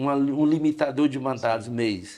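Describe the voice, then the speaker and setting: Here a man talks at a fairly slow pace. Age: 60s. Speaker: union leader. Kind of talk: podcast interview. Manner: hesitant, with frequent fillers.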